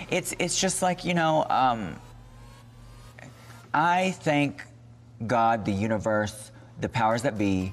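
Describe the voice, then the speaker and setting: A man's medium-pitched voice at a very slow pace, with very wide pitch swings and long, frequent pauses. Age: 30s. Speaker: drag performer. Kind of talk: interview conversation.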